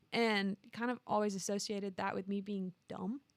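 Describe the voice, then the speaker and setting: A woman with a slight Southern US accent speaks at a moderate pace and medium pitch, the sound dry and close with no echo. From Alabama, small town. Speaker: marketing coordinator. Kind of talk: interview conversation.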